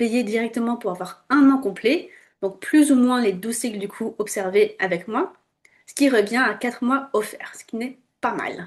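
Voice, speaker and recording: Ordinary pitch variation and a moderate pace in an unremarkable speaking voice. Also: woman. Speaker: fertility awareness instructor. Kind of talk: tutorial. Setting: screen-share video.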